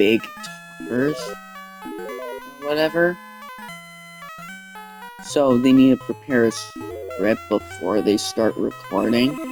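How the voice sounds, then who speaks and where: The delivery moves at a very slow pace. Music plays in the background. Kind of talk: unscripted casual talk to camera. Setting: controller microphone.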